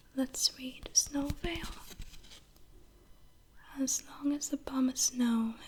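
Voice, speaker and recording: A soft-spoken woman talks at a very slow pace. Her intonation stays monotone and flat. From northern Sweden. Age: 20s. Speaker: ASMR creator. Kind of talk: ASMR show-and-tell.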